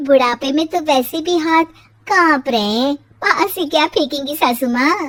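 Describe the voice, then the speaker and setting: A cartoonish character voice, female-sounding and high-pitched, at a fairly slow pace. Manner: lively, expressive.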